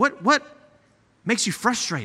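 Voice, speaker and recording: An animated man with a bright, sharp tone, an American accent, very wide pitch swings and a fairly slow pace. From East Texas (Nacogdoches). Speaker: guest preacher. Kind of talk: sermon.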